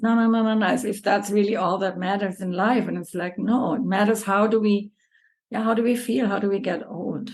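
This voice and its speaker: At a fairly quick pace, a woman speaks with a medium pitch and fairly even intonation. Her voice is somewhat breathy. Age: 50s. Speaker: yoga teacher. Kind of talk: casual interview chat.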